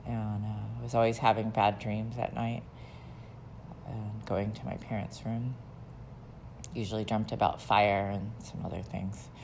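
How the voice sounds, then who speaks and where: A woman with an American accent speaks in a very deep, low pitch with vocal fry. She leaves long, frequent pauses, and the room echo is audible. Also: fairly even intonation, fairly slow pace. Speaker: memoir narrator. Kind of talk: personal life story. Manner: hesitant, with fillers.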